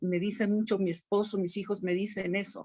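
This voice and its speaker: This woman's voice is fairly high and somewhat breathy. She speaks at a fairly slow pace. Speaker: webinar participant, teacher. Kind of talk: online workshop discussion.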